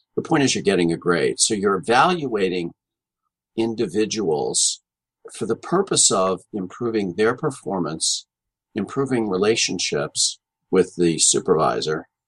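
Speaking at a moderate pace, a man with a fairly low pitch uses lively intonation. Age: 60s. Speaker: organizational consultant and author. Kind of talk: interview. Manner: halting, with many fillers.

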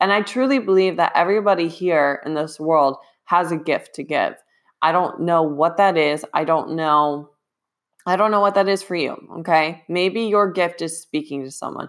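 In a plain, everyday voice, a woman speaks at a moderate pace and a fairly low pitch with ordinary pitch variation. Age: 20s. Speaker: fitness coach and podcast host. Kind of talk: solo podcast monologue.

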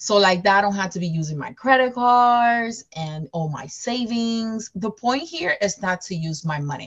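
With a Spanish accent, a woman speaks at a moderate pace and medium pitch, hardly pausing, her somewhat breathy voice carrying lively intonation and an animated tone. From Dominican Republic. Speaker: school counselor and real estate investor. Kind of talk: interview.

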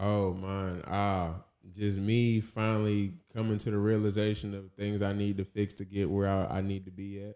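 A man's dark, mellow voice with monotone, flat intonation at a moderate pace. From South Carolina, US South. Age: 20s. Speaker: musician and actor. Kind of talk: casual chat.

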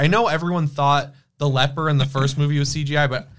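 A man with an American accent and an unremarkable speaking voice talks at a fairly quick pace and fairly high pitch, on a very clean recording with a silent background. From Michigan, Detroit area. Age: 20s. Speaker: horror film YouTuber. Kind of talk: casual chat; storytelling.

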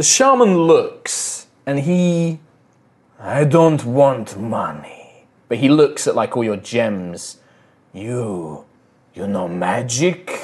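A man at medium pitch puts on a character voice. He goes at a very slow pace with long, frequent pauses. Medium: actual play. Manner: terse, broken phrasing.

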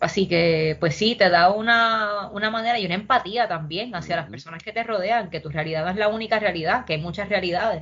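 A woman speaks at a very fast pace with hardly any pauses, at a medium pitch with ordinary pitch variation and big swings in loudness. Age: 30s. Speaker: poet and urban planner. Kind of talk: casual interview chat.

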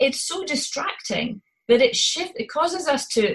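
A woman speaks in a Scottish accent. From Scotland. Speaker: parent coach. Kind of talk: interview chat about parenting.

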